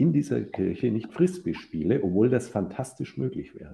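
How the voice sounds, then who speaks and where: Fairly low-pitched male voice, dark and mellow in tone, with vocal fry and very wide pitch swings. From Franconia, Germany (Ansbach). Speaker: professor, psychologist and architect. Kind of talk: interview conversation.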